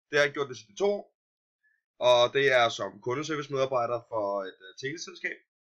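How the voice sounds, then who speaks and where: This man's voice sits fairly high. It has a bright, sharp tone. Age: 20s. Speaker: adult student. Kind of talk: self-introduction. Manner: halting, many fillers.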